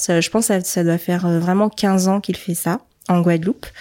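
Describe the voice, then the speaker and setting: A woman speaks in a calm, dark, mellow tone at a medium pitch with fairly even intonation, on a very clean recording with a silent background. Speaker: entrepreneur. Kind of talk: interview.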